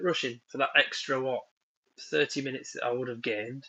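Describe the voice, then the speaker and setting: A man talks with a northern English accent. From northern England. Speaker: woodworking YouTuber. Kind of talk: live stream chat. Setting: at home, indoors, live stream. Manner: casual, hesitant with many ums.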